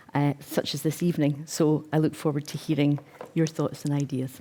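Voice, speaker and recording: The woman's voice is very deep and low, with a dark, mellow tone. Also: very clean recording, silent background. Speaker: tourism industry panelist. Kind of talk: prepared talk to live audience. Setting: stage with live audience. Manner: fast.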